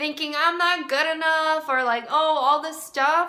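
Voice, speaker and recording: Raising and projecting her voice, a woman speaks at a fairly slow pace with a high pitch and ordinary pitch variation. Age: 20s. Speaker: mental health professional and dating advice vlogger. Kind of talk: casual dating advice talk to camera. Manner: warm, chatty.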